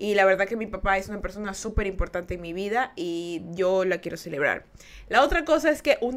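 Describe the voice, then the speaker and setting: A woman's animated, medium-pitched voice with lively intonation at a fairly quick pace. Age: 20s. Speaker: podcast host. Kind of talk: casual chat. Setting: live stream.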